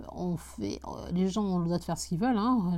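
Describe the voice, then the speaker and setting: Fairly quick and fairly low in pitch, a woman's voice sounds dark, mellow and somewhat breathy. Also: very clean recording, silent background. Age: 20s. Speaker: real estate investor podcaster. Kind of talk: casual solo podcast. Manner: halting, many fillers and repetitions.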